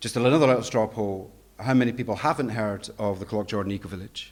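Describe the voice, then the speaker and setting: Speaking at a moderate pace, a man with a Scottish accent uses ordinary pitch variation. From Scotland. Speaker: education director, conference speaker. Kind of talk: conference presentation.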